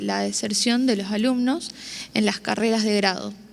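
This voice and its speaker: Speaking with a Mendoza accent, a woman uses a fairly high pitch and ordinary pitch variation. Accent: Mendoza accent, noticeable. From Argentina, Mendoza. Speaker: university student panelist. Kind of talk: prepared panel presentation.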